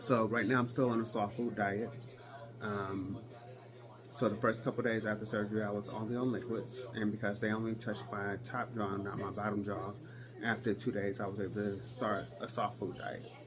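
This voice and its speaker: With music in the background, a man speaks at a moderate pace in a fairly low, monotone voice with flat intonation. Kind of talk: casual talk to camera.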